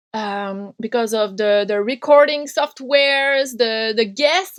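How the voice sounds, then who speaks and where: A woman speaks at a fairly slow pace in a Quebec accent, her intonation lively. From Quebec, French Canada. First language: French. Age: 30s. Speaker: punk radio host and podcaster. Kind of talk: interview conversation.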